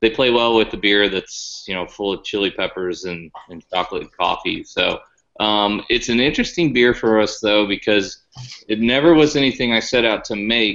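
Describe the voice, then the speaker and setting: At a moderate pace and with ordinary pitch variation, the voice comes through against a quiet background. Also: man. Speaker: remote guest. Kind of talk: interview answer. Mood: relaxed, thoughtful. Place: home room. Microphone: video call.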